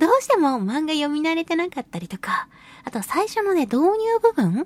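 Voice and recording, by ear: A woman's high voice swings widely in pitch at a moderate pace, with a dry, close sound and no echo.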